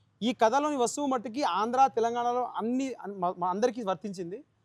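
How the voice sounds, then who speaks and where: In a dry, close sound with no echo, a man with a Telangana accent speaks at an extremely high pitch. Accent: Telangana Telugu. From India, Telangana. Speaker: film director. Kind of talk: interview.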